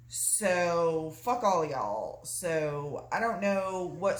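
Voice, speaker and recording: With a Southern US accent, a woman speaks in lively intonation. Audible room echo and noticeable background noise are present. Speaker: mother retelling a film story. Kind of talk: casual storytelling. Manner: animated.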